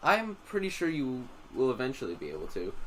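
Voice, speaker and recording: Noticeable background noise is present throughout. A man talks over it at a moderate pace. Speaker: drone tech youtuber. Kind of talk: live stream commentary. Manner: casual, many fillers.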